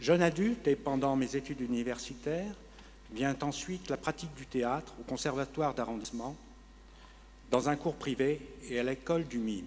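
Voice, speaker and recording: This man's voice sits at a fairly high pitch, moving at a fairly slow pace with ordinary pitch variation. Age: 60s. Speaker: retiree with multiple sclerosis giving testimony. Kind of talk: testimony.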